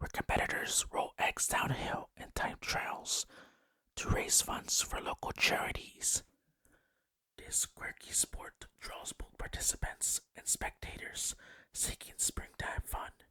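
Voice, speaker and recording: A whispering voice, calm in tone, moves at a very slow pace. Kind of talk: ASMR-style narration of holiday facts, relaxed whisper-tingle video. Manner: soft, whispery, calm.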